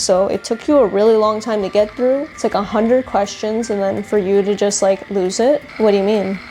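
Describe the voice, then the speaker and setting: Over music in the background, a woman speaks at a moderate pace with a fairly high pitch and a slight non-native accent. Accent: slight foreign touch, mispronounces words. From grew up in current country, immigrant family. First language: not English. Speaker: lifestyle vlogger. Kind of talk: casual vlog chat.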